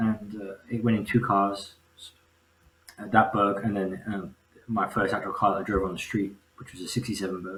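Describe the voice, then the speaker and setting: In an English accent, a man speaks at a moderate pace with monotone, flat intonation. His loudness swings widely, and he takes long, frequent pauses. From England, Birmingham area. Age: 30s. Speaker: engine builder. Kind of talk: casual chat.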